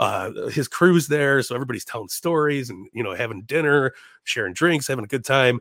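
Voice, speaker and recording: With an American accent, a man speaks in a normal speaking voice at a fairly quick pace. His fairly high pitch moves with ordinary variation on a very clean recording with a silent background. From Chicago. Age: 30s. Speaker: comedian and podcaster. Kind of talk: casual chat.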